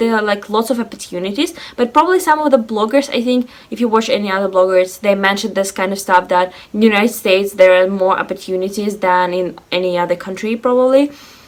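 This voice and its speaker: Over noticeable background noise, a woman with a Russian accent speaks at a very fast pace with a fairly high pitch and lively intonation. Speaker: lifestyle vlogger. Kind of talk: casual vlog monologue. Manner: animated.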